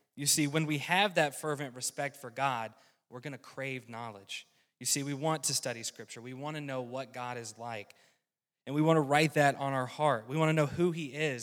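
A man with a Southern US accent talks at a fairly quick pace, his pitch fairly high and his intonation fairly even. The recording is very clean with a silent background. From US South, rural North Carolina. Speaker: lay preacher, weatherman by trade. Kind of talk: sermon. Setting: church.

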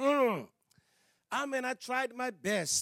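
A man speaks with a Danish accent in an animated tone. The sound is dry and close, with no echo. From Denmark. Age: 60s. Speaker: evangelist and missionary. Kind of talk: sermon. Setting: church. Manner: halting.

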